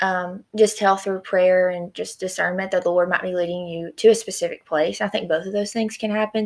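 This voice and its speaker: Monotone, flat intonation fills this woman's speech in a Southern accent, captured in a very clean recording with a silent background. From East Tennessee. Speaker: student ministry podcast host. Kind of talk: casual interview.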